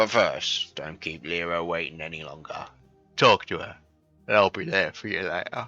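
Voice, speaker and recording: Faint music plays behind a man doing a gravelly put-on character voice at a very deep, low pitch. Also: moderate pace. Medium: game stream. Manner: gruff, hearty.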